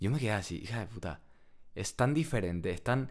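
A man talks at a very fast pace with vocal fry. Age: 20s. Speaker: economics student, podcast co-host. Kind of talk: casual chat.

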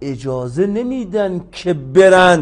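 A man with a high pitch, an animated tone and very wide pitch swings. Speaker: law professor. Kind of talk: interview.

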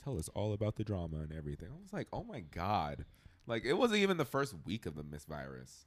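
Here is a man with vocal fry and an animated tone, talking at a fairly quick pace. His pitch swings very widely, and his loudness swings a lot. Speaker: podcast guest. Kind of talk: casual chat. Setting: studio.

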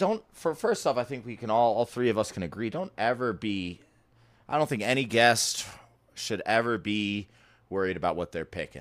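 In a very clean recording with a silent background, a man with an American accent speaks at a moderate pace and medium pitch, animated in tone and lively in intonation. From Rochester, New York. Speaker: podcast co-host. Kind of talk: casual chat.

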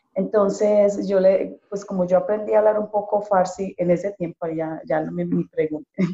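A woman with an unremarkable speaking voice talks at a moderate pace and medium pitch with ordinary pitch variation, in a dry, close sound with no echo. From Colombia, Pereira. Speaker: panel guest. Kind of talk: casual panel chat.

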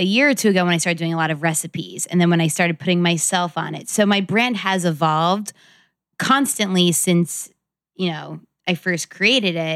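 With an American accent and an unremarkable speaking voice, a woman talks at a moderate pace, her fairly low pitch showing ordinary variation. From New York City. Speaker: lifestyle blogger and brand founder. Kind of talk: casual chat.

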